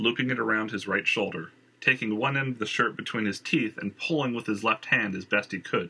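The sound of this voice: Ordinary pitch variation shapes an unforced reading voice in this clip.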